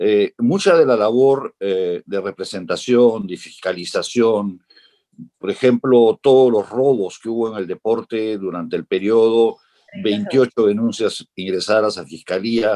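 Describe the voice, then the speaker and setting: A man speaks at a medium pitch and a fairly slow pace with ordinary pitch variation, his tone dark and mellow, the sound dry and close with no echo. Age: 60s. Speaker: politician. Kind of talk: political debate. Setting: virtual debate.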